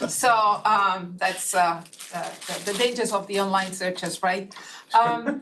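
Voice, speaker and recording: Through noticeable background noise and audible room echo, a woman speaks fairly slowly at a medium pitch with ordinary pitch variation. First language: Catalan. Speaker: neuroscientist on advisory task force. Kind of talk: speaker introductions at online meeting. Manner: halting, many fillers.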